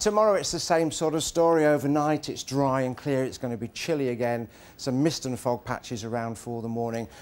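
Speaking with a southern English accent, a man keeps a fairly quick pace with hardly any pauses. His tone is relaxed and his pitch variation ordinary. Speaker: TV weather presenter. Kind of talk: live TV weather forecast, loosely scripted and chatty. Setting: outdoors. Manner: relaxed and conversational, sprinkling hedges like 'I think' and 'sort of'; jovial and good-humoured, laughing and bantering with the co-presenter. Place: studio. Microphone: lapel.

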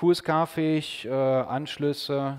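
The background is quiet as a man speaks at a fairly high pitch. His intonation stays fairly even. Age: 40s. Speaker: radio engineer and ham radio amateur; conference presenter. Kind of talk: conference talk. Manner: hesitant, many filler sounds. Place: hall. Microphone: podium.

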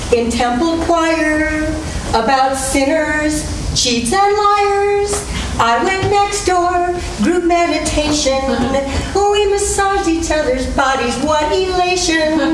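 A woman's extremely high voice at a very slow pace, with audible room echo and noticeable background noise. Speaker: stage actor. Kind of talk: musical theatre song performance. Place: stage. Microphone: camera far.

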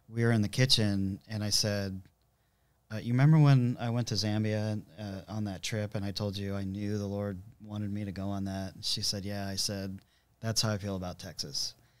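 With an American accent and fairly low pitch, a man speaks at a moderate pace in an unremarkable speaking voice. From Southern California. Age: 50s. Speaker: church musician, guitarist. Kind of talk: casual chat, testimony. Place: studio. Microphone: studio mic.

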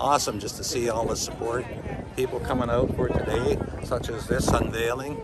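Over loud background noise, the speech moves at a fairly quick pace in a dry sound with no echo. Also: man. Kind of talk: interview answer. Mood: calm, reflective. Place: street. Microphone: phone near.

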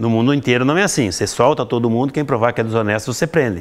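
A man speaking at a very fast pace. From Rio Grande do Sul, Brazil. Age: 50s. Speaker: mayoral candidate and educator; candidate, educator. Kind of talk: interview. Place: classroom.

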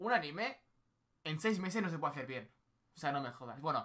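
The background stays quiet. A man's pitch swings very widely. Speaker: streamer. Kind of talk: casual stream chat reacting to anime and reading chat. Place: home room. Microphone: headset.

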